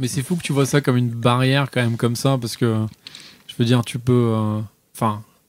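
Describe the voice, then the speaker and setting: A man with a medium pitch speaks at a fairly quick pace in fairly even intonation, broken by long, frequent pauses. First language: not French (speaking French). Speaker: podcast co-host. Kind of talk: casual chat. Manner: hesitant, many fillers.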